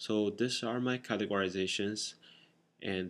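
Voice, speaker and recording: A man's fairly low voice with a non-native accent, fairly even intonation and a fairly slow pace, in a very clean recording with a silent background. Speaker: boot collector vlogger. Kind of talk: casual explainer vlog. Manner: halting, many fillers.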